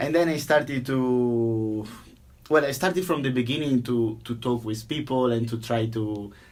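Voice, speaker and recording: A man with an Italian accent at medium pitch and a moderate pace, ordinary pitch variation, and audible room echo. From Italy, near Venice. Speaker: software engineer. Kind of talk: interview. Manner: halting, many repeated words.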